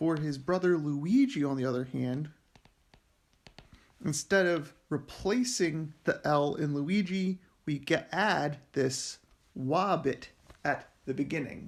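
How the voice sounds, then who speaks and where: In a very clean recording with a silent background, a man with an American accent speaks at a very slow pace, with long, frequent pauses and ordinary pitch variation. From Philadelphia, US. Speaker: linguist. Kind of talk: lecture. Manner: casual, with frequent fillers.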